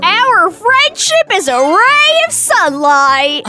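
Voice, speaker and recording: A woman's put-on character voice, extremely high in pitch with very wide pitch swings, at a very slow pace over clear background noise. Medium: game stream.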